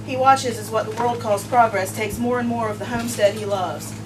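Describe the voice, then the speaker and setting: A woman talks at a moderate speed while noticeable noise sounds behind her. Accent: American. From US South, Asheville, North Carolina; North Carolina. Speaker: poet. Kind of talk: poetry reading. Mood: quiet, reflective. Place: home room.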